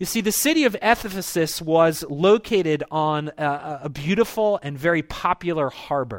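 On a very clean recording with a silent background, a high-voiced man with an American accent speaks with lively intonation. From US, Baltimore, Maryland. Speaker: pastor. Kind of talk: sermon. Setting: church.

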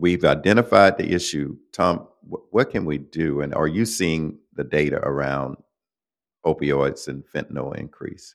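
A man with a very deep, low voice and vocal fry speaks fairly slowly in an American accent, recorded very cleanly against a silent background. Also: ordinary pitch variation. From Florida. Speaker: podcast host. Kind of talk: interview.

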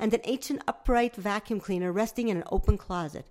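Someone reads aloud in a natural voice, the pitch varying in an ordinary way.

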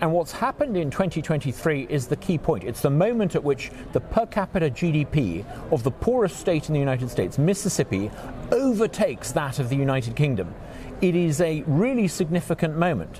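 A man talks at a fairly quick pace with a fairly high pitch. His voice swings very widely in pitch. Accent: British. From England. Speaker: think tank president, former politician. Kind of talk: interview. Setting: conference venue.

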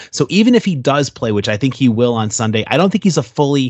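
In a plain, everyday voice, a man speaks at medium pitch with an American accent and ordinary pitch variation. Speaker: sports podcaster and fan. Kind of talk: casual sports chat interview.

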